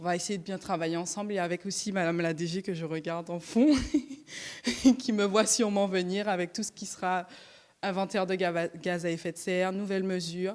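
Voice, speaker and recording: With a Martinican accent, a woman at medium pitch talks at a fairly quick pace with fairly even intonation. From Martinique. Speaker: regional climate plan officer. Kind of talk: brief self-introduction at public meeting.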